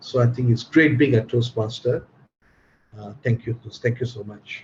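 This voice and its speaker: At a moderate pace, a man with a medium-pitched, somewhat breathy voice keeps his intonation fairly even but makes big swings in loudness. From Malaysia. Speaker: Toastmaster and English tutor. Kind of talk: casual chat. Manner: expressive.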